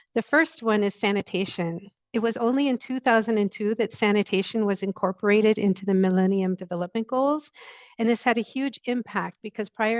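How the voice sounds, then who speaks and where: Soft-spoken and at medium pitch, a woman talks at a fairly quick pace in a dry, close sound with no echo. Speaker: sanitation researcher. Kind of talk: webinar presentation.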